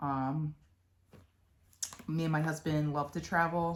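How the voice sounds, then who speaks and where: A woman speaks in a very deep, low pitch. Her pace is fairly slow, with a Philadelphia accent. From Philadelphia, Pennsylvania. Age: 30s. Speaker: cross-stitch vlogger. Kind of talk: casual chat. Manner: chatty, with many fillers.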